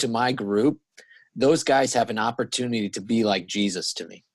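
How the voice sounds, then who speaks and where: Against a quiet background, a man with a normal speaking voice talks at a medium pitch and a moderate pace. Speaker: podcast host and church staff. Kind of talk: casual interview chat.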